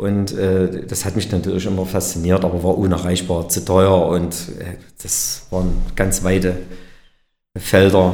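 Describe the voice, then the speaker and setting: There's audible room echo on a voice that is somewhat breathy. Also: man. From Erzgebirge, Saxony. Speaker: company director. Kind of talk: interview. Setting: company meeting room.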